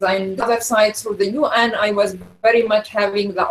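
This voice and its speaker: A woman with an unremarkable speaking voice, a fairly high pitch and fairly even intonation, at a fairly quick pace. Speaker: architect. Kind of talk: online seminar talk. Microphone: sound cutting in and out.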